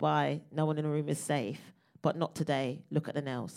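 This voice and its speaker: Recorded very cleanly against a silent background, a woman with a very deep, low pitch and vocal fry speaks at a moderate pace. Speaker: comedian. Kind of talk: live podcast recording in front of audience. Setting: stage with audience.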